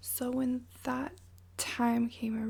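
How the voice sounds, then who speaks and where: Soft-spoken and fairly high in pitch, a woman speaks in a monotone, flat intonation. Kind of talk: ASMR story time. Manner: casual, chatty.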